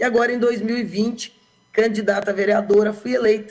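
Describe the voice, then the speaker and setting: A woman's medium-pitched voice at a moderate pace. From Brazil, Bauru, São Paulo state. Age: 50s. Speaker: politician. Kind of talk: interview.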